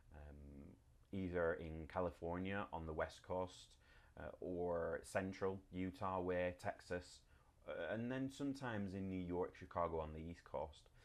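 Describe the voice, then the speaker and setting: Against a quiet background, a man speaks with a very deep, low pitch and ordinary pitch variation. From UK. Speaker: web design blogger. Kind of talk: tutorial. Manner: casual, with many fillers.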